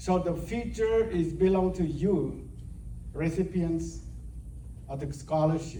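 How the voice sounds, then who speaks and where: Amid audible room echo, a man speaks very slowly with long, frequent pauses. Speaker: retired professor. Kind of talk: ceremony speech.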